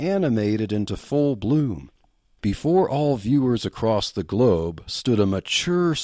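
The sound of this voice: Lively intonation fills this unforced reading voice.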